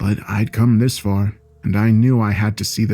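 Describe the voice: The text is read plainly aloud. The intonation stays fairly even.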